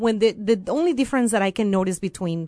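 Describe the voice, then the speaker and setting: Energetic in tone, a woman speaks with ordinary pitch variation over a quiet background, the sound dry and close with no echo. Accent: Venezuelan. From Venezuela. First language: Spanish. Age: 30s. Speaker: court interpreter. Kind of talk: interview.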